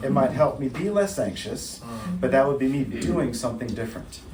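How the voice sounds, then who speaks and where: Over noticeable background noise, a man speaks at a medium pitch with lively intonation. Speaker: therapist leading a church workshop. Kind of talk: workshop talk. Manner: fast.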